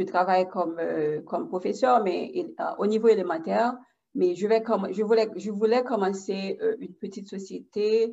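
Here a woman speaks at medium pitch with ordinary pitch variation. Her tone is dark and mellow, and her pace is moderate. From Haiti. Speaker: elementary school teacher. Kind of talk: casual chat.

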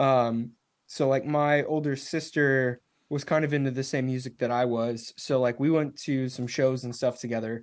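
Against a quiet background, a man speaks at a moderate pace with a medium pitch and flat, monotone intonation. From Nashville, Tennessee, US South. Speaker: metal band musician. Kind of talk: casual interview. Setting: video call.

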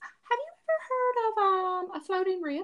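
The put-on character voice is pitched extremely high. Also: moderate pace.

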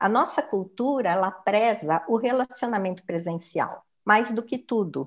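A woman talks in a normal speaking voice at a fairly slow pace, with ordinary pitch variation. The recording is very clean, with a silent background. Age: 60s. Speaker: human resources professional. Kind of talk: interview.

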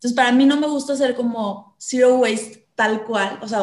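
At a moderate pace, a woman in a Mexican accent speaks with fairly even intonation. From Mexico, southern Veracruz (Coatzacoalcos). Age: 20s. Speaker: eco influencer. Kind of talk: interview. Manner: halting, many repeated words.

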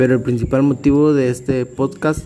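A man speaks with a Guatemalan accent. Background noise is noticeable. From Guatemala, San Marcos and Quetzaltenango area. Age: 20s. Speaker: law student. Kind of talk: personal reflection monologue.

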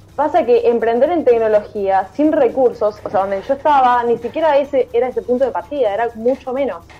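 A woman speaks at a fairly quick pace in a high pitch, with hardly any pauses. Music plays in the background. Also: ordinary pitch variation. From Argentina, Buenos Aires province. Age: 20s. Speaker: tech startup founder. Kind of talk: interview. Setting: video call.

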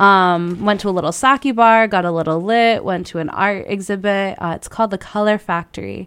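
A woman speaks in a plain, everyday voice at a medium pitch. Her moderate pace leaves hardly any pauses. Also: ordinary pitch variation. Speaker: podcast co-host. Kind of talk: casual chat. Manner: casual, relaxed.

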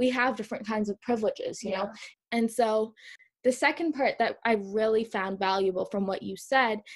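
In a very clean recording with a silent background, a woman talks in a fairly high, somewhat breathy voice. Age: 20s. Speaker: podcast host. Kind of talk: casual chat.

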